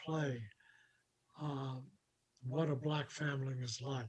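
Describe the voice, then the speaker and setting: A man with a fairly high, somewhat breathy voice speaks very slowly in a monotone, flat way. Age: 80s+. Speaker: documentary executive producer. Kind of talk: interview conversation.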